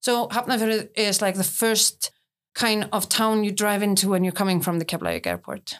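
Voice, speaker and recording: A woman with an Icelandic accent speaks at medium pitch and a fairly quick pace. Her intonation stays fairly even on a very clean recording with a silent background. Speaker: tour guide. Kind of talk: interview.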